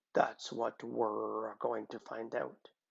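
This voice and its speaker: A man puts on a character voice that is raspy, gruff and growling. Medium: read story. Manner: gruff, terse.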